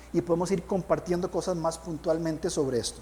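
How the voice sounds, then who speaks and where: There is audible room echo and noticeable background noise as a man with a high pitch speaks at a fairly quick pace. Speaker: pastor. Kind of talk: sermon.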